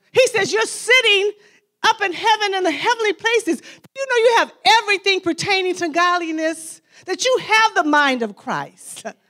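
A woman projects her voice at an extremely high pitch in a bright, sharp tone. Her pace is moderate and her intonation lively. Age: 60s. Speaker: pastor and counselor, guest speaker. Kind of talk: sermon. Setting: church women's gathering with audience.

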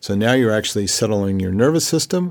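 The recording is very clean, with a silent background. A man talks at a fairly quick pace in a normal speaking voice, his pitch fairly low. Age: 60s. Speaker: holistic health practitioner. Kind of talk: interview.

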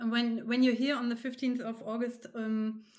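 In a German accent, a woman with a fairly high pitch speaks in a flat monotone. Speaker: podcast host. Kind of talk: interview.

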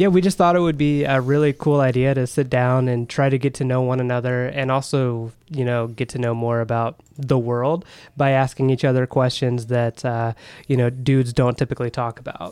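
In a very clean recording with a silent background, a man with an ordinary speaking voice talks at a moderate pace, his medium pitch fairly even in intonation. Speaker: podcast co-host. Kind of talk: casual chat.

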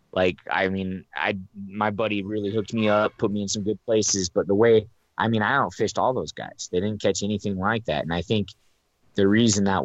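A man with an American accent has a plain, everyday voice, fairly low in pitch with fairly even intonation. He speaks at a fairly quick pace against a quiet background. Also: dry, close sound with no echo. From Reno, Nevada. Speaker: fishing podcast co-host. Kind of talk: casual chat.

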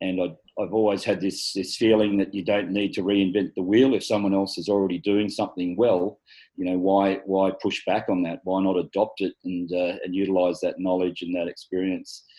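With an Australian accent, a man talks at a moderate pace in a fairly low, flat monotone. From Australia, Sydney's rural north-west. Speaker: local councillor. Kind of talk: interview. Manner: halting, many fillers.

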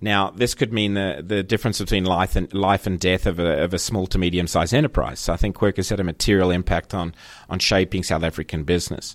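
This man speaks very fast with hardly any pauses, in a very deep, low voice and fairly even intonation. The recording is very clean, with a silent background. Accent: Australian. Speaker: agency managing director. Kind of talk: casual interview chat.

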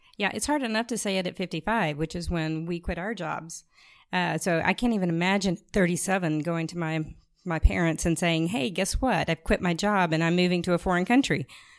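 With an American accent and an unremarkable speaking voice, a woman talks at a fairly quick pace in a fairly low pitch with ordinary pitch variation, on a very clean recording with a silent background. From rural US. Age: 50s. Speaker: podcast co-host. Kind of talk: podcast interview.

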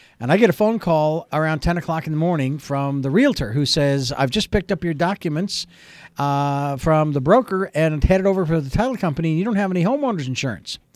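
A man races along at a very fast pace with a fairly high pitch and lively intonation in a very clean recording with a silent background. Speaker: radio host. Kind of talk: radio promo read.

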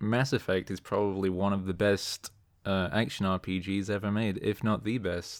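The man has an unremarkable speaking voice, pitched fairly low with ordinary pitch variation. He speaks at a fairly slow pace. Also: very clean recording, silent background. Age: 20s. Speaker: YouTube channel creator. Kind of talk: casual chat.

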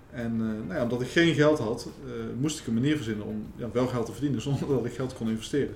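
A man talks at a very fast pace with a medium pitch and ordinary pitch variation. Audible room echo and noticeable background noise come through. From Netherlands, The Hague. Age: 30s. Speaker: entrepreneur, marketing company owner. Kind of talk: interview.

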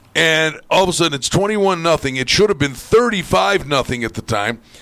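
A plain, everyday voice, speaking at a fairly slow pace. The intonation is lively. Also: man. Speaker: sports radio host. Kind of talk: casual chat. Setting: studio.

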